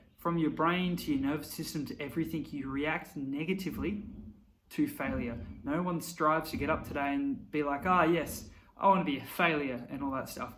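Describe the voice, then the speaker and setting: Audible room echo colors this man's voice, which sits at a fairly high pitch. He talks at a fairly quick pace with ordinary pitch variation. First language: not English. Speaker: YouTuber. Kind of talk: motivational talk to camera. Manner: casual, conversational.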